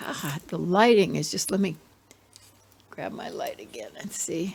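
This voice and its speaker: Here a woman speaks at a very slow pace. Her pitch is medium. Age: 70s. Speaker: plant hobbyist video host. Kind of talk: casual plant tour narration. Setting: indoors, living room. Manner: rambling, halting with fillers.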